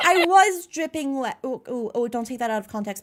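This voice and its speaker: Lively intonation and an American accent come through on a very clean recording with a silent background. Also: woman. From United States. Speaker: vtuber streamer. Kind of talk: live stream chat. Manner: casual, filler-heavy.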